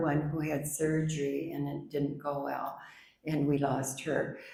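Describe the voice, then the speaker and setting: Fairly slow and monotone, a woman speaks in a very deep, low voice with a dark, mellow tone, and the room echo is audible. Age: 80s+. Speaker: author. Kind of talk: book discussion.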